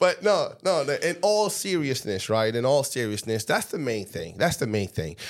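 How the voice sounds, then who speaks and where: With an American accent and vocal fry, the speaker keeps a moderate pace, barely pausing while the pitch swings very widely. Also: man, fairly high pitch for a man. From Trinidad and Tobago, then Staten Island, New York from age about 11. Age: 30s. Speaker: high school football coach, former NFL player. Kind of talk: interview.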